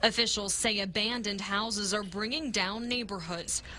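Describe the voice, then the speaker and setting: A woman with a normal speaking voice, a medium pitch and fairly even intonation talks at a moderate pace. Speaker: TV news reporter. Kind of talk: TV news package narration.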